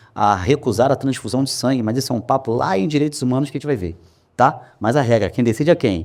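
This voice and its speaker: The recording is very clean, with a silent background. A man at medium pitch and ordinary pitch variation talks at a fairly quick pace. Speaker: law professor. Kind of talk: lecture. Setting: classroom with live audience. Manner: fast; animated.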